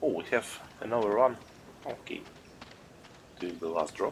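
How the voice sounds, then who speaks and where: Over noticeable background noise, the speech moves at a fairly slow pace with lively intonation. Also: man. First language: not English. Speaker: gaming streamer. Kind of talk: live gameplay stream commentary. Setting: live stream.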